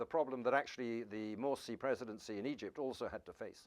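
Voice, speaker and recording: A man speaks with a British accent and ordinary pitch variation. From England. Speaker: professor. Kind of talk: lecture. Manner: fast; halting.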